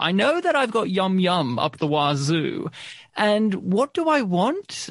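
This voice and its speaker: Here a man speaks with an Australian accent. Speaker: podcast host. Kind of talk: casual chat.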